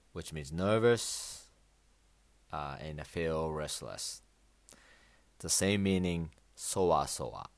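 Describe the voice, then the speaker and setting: With a Japanese accent, a man with a very deep, low voice speaks very slowly, taking long, frequent pauses, with ordinary pitch variation and big swings in loudness. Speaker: Japanese language teacher podcaster. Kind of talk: language lesson. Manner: halting with many fillers.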